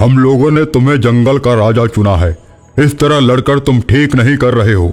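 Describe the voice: A man's cartoonish character voice at medium pitch and moderate pace, with faint music in the background.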